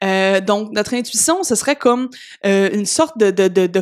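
In a Quebec accent, a woman talks at a moderate pace and a fairly high pitch on a very clean recording with a silent background. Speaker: personal development podcaster. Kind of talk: solo podcast monologue.

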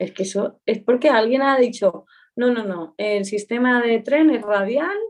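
The intonation rises and falls in a lively way. It is a woman who speaks. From Aragon, Spain (Pyrenees, Huesca). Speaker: journalist. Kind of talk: casual interview chat. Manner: cheerful, laughing.

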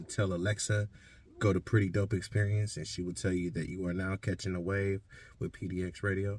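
A somewhat breathy voice with an American accent. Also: man. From Stockton, California. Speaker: radio host and music producer. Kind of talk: casual interview.

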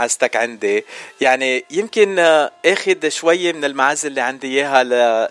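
With music in the background, a man sounds upbeat and energetic, his pitch fairly high with ordinary variation, in a dry, close recording with no echo. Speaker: radio host. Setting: radio studio. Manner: upbeat, chatty, welcoming, energetic presenter delivery.

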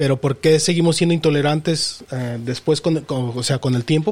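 A man speaks at a fairly quick pace. His is an ordinary speaking voice with ordinary pitch variation. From Mexico. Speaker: podcast co-host. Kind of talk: casual chat.

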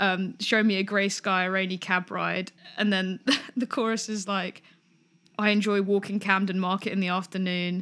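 In a London accent, a woman speaks at a moderate pace with a medium pitch and monotone, flat intonation. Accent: southern English, London. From Greater London, England (Pinner). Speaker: podcast co-host, songwriter. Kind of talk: casual chat. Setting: call across countries.

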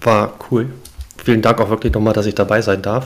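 A man talks at a moderate pace with a fairly low pitch and ordinary pitch variation, against noticeable background noise. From northern Germany, Hamburg. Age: 40s. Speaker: new podcast co-host, football fan. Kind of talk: casual chat.

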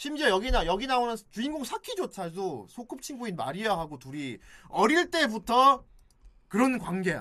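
A man's raised, projected voice sounds bright and sharp, high in pitch with very wide swings. He speaks at a moderate pace in an animated tone. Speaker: podcast host. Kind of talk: casual chat.

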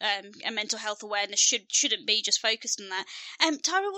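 A woman with a Birmingham accent, very wide pitch swings and a fairly quick pace. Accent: Birmingham (Brummie). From Birmingham, England. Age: 30s. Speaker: podcast host and counsellor. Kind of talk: casual chat. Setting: video call. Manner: talkative, rambling.

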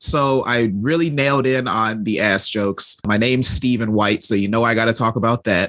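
In an American accent, a man with a normal speaking voice talks at medium pitch and a moderate pace, with ordinary pitch variation and very even loudness. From Chicago. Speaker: stand-up comedian. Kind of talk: casual chat.

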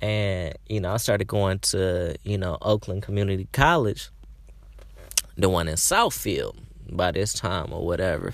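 A man's animated, fairly low-pitched voice at a fairly slow pace, with ordinary pitch variation. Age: 20s. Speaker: podcast host. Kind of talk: casual monologue. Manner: animated, filler-heavy.

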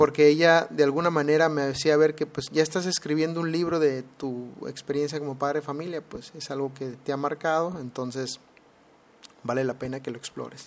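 A moderate pace with fairly even intonation. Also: man, fairly high pitch for a man. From Mexico, Mexicali, Baja California. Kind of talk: solo podcast monologue. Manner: hesitant, frequent fillers and repetitions.

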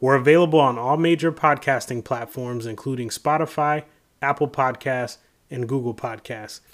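In a plain, everyday voice with an American accent, the speaker moves at a moderate pace with fairly even intonation over a very clean recording and silent background. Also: man, medium pitch for a man. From Florida, Tampa. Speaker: sports podcast co-host. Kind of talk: casual chat; scripted outro.

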